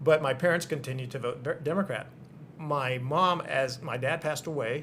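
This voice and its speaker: This man has an American accent and speaks at a fairly quick pace. His pitch variation is ordinary. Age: 60s. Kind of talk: interview. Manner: hesitant, many fillers.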